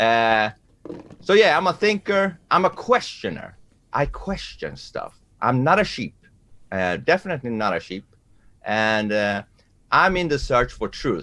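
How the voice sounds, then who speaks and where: Speaking slowly with long, frequent pauses, a man with a Persian accent uses a fairly high pitch and very wide pitch swings. His tone is bright and sharp, and the recording is very clean with a silent background. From Iran. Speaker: musician and debater. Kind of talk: self-introduction. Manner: halting, many fillers.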